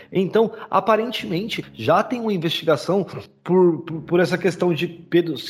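Against noticeable background noise, a high-pitched man talks at a fairly slow pace. He uses hardly any pauses, and his pitch varies in an ordinary way. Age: 30s. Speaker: podcast host. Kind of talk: casual chat.

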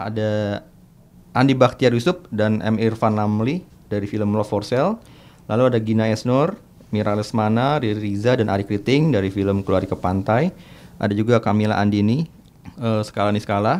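A man with an unremarkable speaking voice talks at a moderate pace in a fairly low pitch with ordinary pitch variation. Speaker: film podcast co-host and journalist. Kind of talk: casual chat.

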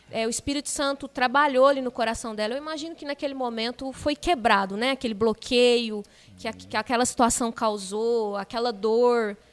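A woman's high-pitched voice at a fairly quick pace, with ordinary pitch variation and hardly any pauses. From Minas Gerais, Brazil. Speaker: churchgoer guest. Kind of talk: casual chat. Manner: animated.

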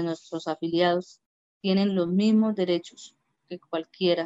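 Very slowly, a woman speaks in a fairly low voice. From Colombia, Arauca (Saravena), rural. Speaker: LGBT community leader. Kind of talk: interview. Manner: halting, repeats words.

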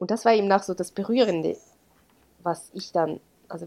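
A woman speaks with lively intonation and vocal fry. Her pitch is medium and her pace moderate. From Switzerland, Graubünden. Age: 30s. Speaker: teacher and blogger on adoption. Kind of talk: interview, personal testimony.

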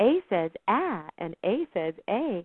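This put-on character voice sits at a fairly high pitch and has very wide pitch swings. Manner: cheerful.

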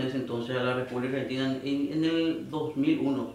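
Over noticeable background noise and audible room echo, a man talks at a moderate pace in a fairly high pitch, with monotone, flat intonation. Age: 30s. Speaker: church band guitarist. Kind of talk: casual chat.

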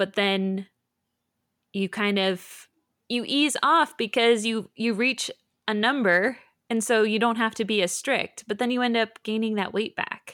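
In a very clean recording with a silent background, a woman speaks in an ordinary speaking voice at a fairly high pitch. Her pace is fairly slow with ordinary pitch variation, and the sound is dry and close with no echo. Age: 30s. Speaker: podcast co-host. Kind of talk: casual chat.

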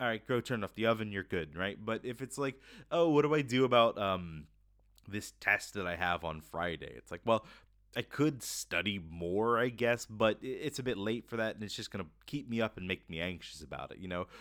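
A man with a fairly low pitch and an American accent, at a moderate pace with lively intonation and big swings in loudness, in a very clean recording with a silent background. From US South, Florida. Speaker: podcast host. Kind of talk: casual monologue. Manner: cheerful.

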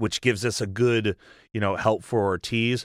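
At a moderate pace, a normal speaking voice comes through a very clean recording with a silent background and a dry, close sound with no echo. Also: man. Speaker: podcast host. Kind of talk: casual chat.

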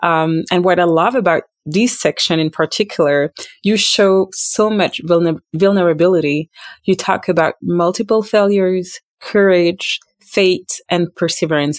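In a plain, everyday voice, a woman speaks at a moderate pace and a fairly low pitch with ordinary pitch variation, the sound dry, close and without echo. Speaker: podcast host. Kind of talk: interview, hosting.

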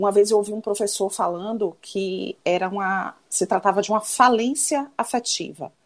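A woman speaks at medium pitch in a normal speaking voice. Her pace is fairly slow. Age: 40s. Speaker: psychologist and former lawyer. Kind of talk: casual chat.

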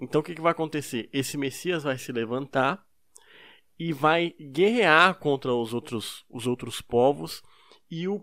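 In a very clean recording with a silent background, a man speaks in a fairly high voice with ordinary pitch variation. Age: 20s. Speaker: podcast co-host. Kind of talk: casual chat.

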